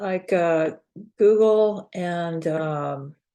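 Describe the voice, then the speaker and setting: With ordinary pitch variation, this woman's voice has a dark, mellow tone. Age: 70s. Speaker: college teacher. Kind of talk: casual chat.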